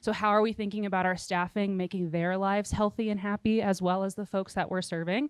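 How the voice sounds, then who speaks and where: Speaking at a very fast pace with hardly any pauses, a woman holds a medium pitch in a monotone, flat delivery. The sound is dry and close, with no echo. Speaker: nonprofit consultant presenting at workshop. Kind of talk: workshop presentation.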